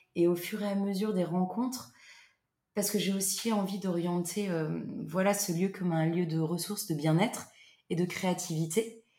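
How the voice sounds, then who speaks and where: A woman speaks with a somewhat breathy voice at a medium pitch and a moderate pace. Her intonation stays fairly even, broken by long, frequent pauses. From central France, Loir-et-Cher. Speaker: holiday cottage owner. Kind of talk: casual interview. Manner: hesitant, many fillers.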